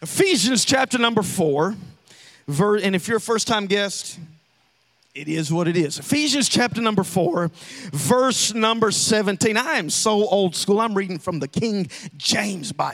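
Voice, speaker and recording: Lively intonation and an animated tone mark this man's high-pitched voice, delivered at a moderate pace with a Southern US accent. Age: 30s. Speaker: pastor. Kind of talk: sermon.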